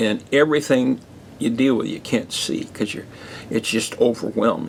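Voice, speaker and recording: A man speaks at a medium pitch with ordinary pitch variation. Vocal fry runs through his voice. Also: moderate pace. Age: 70s. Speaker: pastor. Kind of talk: podcast monologue. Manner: halting.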